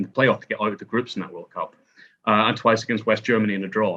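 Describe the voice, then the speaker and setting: A man speaks with a Northern Irish accent. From Northern Ireland. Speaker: historian and author. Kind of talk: podcast discussion.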